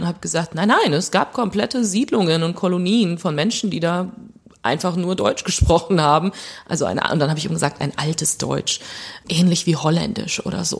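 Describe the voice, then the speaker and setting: Woman at a moderate pace, fairly low in pitch, with ordinary pitch variation. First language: Plautdietsch (speaking German). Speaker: novelist. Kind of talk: interview.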